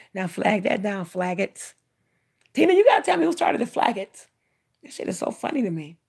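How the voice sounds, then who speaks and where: This woman talks at a fairly quick pace in an animated tone that is somewhat breathy. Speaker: livestreamer doing tarot readings. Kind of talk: live stream chat with tarot reading. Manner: fast.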